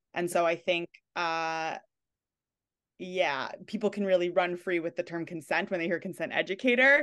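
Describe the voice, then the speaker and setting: Against a quiet background, a woman with a New York accent speaks at a moderate pace in a fairly low pitch. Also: ordinary pitch variation. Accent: New York area American. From New York / New Jersey area. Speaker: consent educator. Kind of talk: interview conversation.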